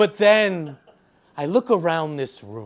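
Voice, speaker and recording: A man with an American accent talks at a fairly high pitch and with lively intonation. The recording is very clean, with a silent background. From Staten Island, New York. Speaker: poet. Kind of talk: poetry reading. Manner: loud.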